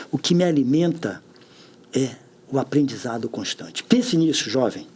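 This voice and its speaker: In a fairly high voice, a man speaks at a moderate speed. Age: 60s. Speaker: public official. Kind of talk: podcast interview.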